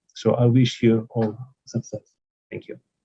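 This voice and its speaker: A dark, mellow, somewhat breathy voice in a flat monotone at a fairly slow pace, dry and close with no echo. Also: man. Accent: Russian. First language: Russian. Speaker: professor, conference speaker. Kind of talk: conference speech. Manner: halting, many filler sounds.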